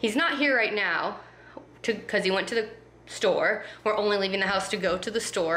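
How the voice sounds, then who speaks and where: A woman talks at a very fast pace. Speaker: vlogger. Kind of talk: casual vlog chat. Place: home room. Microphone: phone near.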